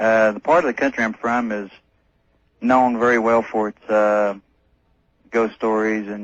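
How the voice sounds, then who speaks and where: A man with a slight North Carolina accent, fairly low in pitch, at a moderate pace, with fairly even intonation, big swings in loudness and long, frequent pauses, against a quiet background. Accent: slight North Carolina Southern. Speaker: caller. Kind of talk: telling a personal story on a call-in radio show. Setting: phone call to a radio show. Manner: halting, many filler sounds.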